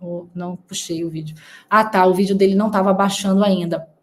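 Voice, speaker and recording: Somewhat breathy, a woman talks at medium pitch with fairly even intonation. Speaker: news commentary youtuber. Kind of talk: online commentary.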